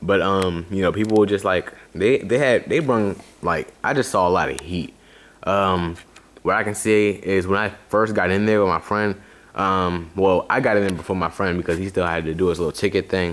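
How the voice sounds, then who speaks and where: A man talks with a very deep, low pitch. His pace is moderate and his intonation fairly even. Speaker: sneaker collector YouTuber. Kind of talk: casual video review. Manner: loud; many fillers, hesitant.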